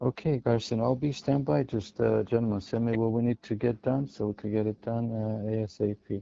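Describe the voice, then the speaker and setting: A quiet man at a fairly quick pace, with fairly even intonation and hardly any pauses. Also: medium pitch for a man. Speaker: business partner on a property deal. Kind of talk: business phone call. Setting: phone call at a doctor's office. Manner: talking quietly; halting.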